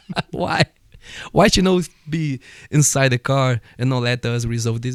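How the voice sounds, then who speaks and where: A man with a Portuguese accent, a fairly slow pace and ordinary pitch variation, in a dry, close sound with no echo. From Brazil. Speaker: martial arts instructor. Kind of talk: casual chat.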